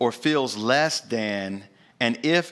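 With a Southern US accent, a man speaks at a medium pitch in an animated tone, his pitch swinging very widely. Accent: Southern American. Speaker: pastor. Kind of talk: sermon. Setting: church.

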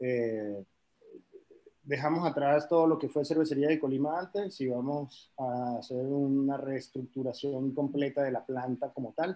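A man speaks in an unremarkable speaking voice. His pitch is fairly high, with ordinary pitch variation. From Caribbean, raised partly in France. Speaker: head brewer. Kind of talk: casual interview.

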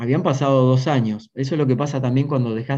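A man with an Argentine accent talks fairly quickly in a dark, mellow tone. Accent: Rioplatense Argentine Spanish. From Argentina, Buenos Aires province (Maipú). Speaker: executive coach. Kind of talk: interview conversation.

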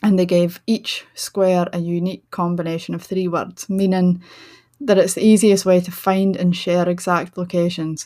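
At a moderate pace, a woman with a Shetland accent speaks in a monotone with flat intonation. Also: very clean recording, silent background. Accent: Shetland Scottish. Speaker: podcast host, writer and tour guide. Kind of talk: solo podcast talk.

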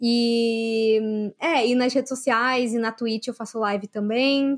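Fairly high in pitch, a woman speaks in a plain, everyday voice. Her intonation is fairly even. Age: 30s. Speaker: youtuber and journalist. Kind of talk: casual chat.

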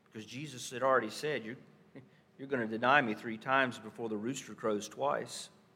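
Fairly quick and at a medium pitch, a man with a North Carolina accent speaks with fairly even intonation but big swings in loudness. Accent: Southern US, North Carolina. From Stanley County, North Carolina. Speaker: pastor. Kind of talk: sermon. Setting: church.

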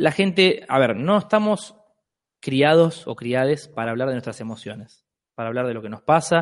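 In a plain, everyday voice, a man talks at a moderate pace and medium pitch, with lively intonation and big swings in loudness. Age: 30s. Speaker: free love activist. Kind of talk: casual chat.

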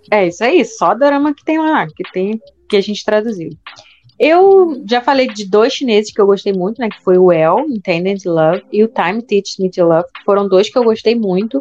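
A woman's fairly high voice, lively in intonation, at a moderate pace, with big swings in loudness. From Brazil, Rio de Janeiro. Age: 30s. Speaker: podcast co-host, teacher. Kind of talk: casual chat.

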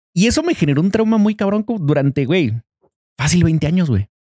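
This man's voice sits high in pitch, with a dark, mellow tone and lively intonation, recorded dry and close with no echo. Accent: Mexican. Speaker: podcast host. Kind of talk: casual chat.

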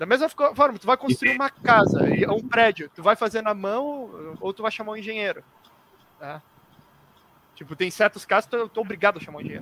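A man's raised, projected voice, high in pitch, at a fairly quick pace with long, frequent pauses and big swings in loudness, the sound dry and close with no echo, noticeable background noise behind. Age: 20s. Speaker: youtuber, arbitration entrepreneur. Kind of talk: casual chat.

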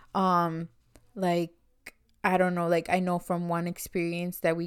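Speaking with an American accent, a woman holds a medium pitch. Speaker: podcast co-host. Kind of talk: casual chat.

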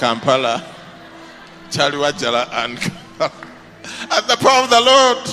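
A man speaks in a fairly high pitch with an animated tone and very wide pitch swings. He leaves long, frequent pauses, and background noise is noticeable. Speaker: pastor. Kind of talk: sermon. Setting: church with congregation.

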